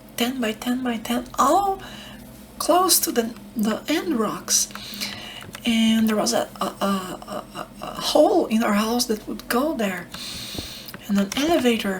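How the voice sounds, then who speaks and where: Soft-spoken and calm in tone, a woman with a fairly high pitch talks at a very slow pace with long, frequent pauses and very wide pitch swings, over noticeable background noise. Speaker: ASMR creator. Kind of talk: ASMR soft-spoken gaming ramble. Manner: soft-spoken, calm.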